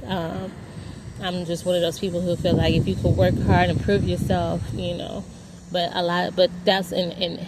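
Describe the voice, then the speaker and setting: Noticeable noise can be heard behind this woman. She keeps to a moderate speed. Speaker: vlogger. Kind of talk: personal monologue. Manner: rambling, halting.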